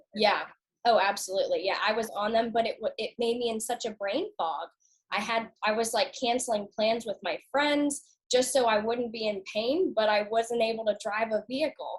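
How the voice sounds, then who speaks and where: With an American accent, a woman talks in a plain, everyday voice at fairly high pitch, with ordinary pitch variation and a moderate pace. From US South, Norfolk, Virginia. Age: 20s. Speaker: customer sharing health story. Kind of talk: casual interview.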